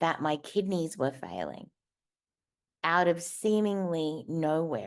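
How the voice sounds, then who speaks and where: A woman with an Australian accent speaks at a very slow pace and fairly low pitch. Her pitch varies in an ordinary way over a quiet background. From Australia, Darwin. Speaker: motivational speaker. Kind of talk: personal testimony talk. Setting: virtual stage.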